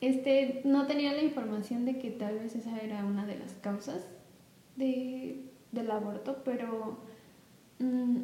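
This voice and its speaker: There is audible room echo and noticeable background noise. A woman speaks at a high pitch and a fairly slow pace, with ordinary pitch variation. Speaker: reggaeton dancer and influencer. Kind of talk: casual chat.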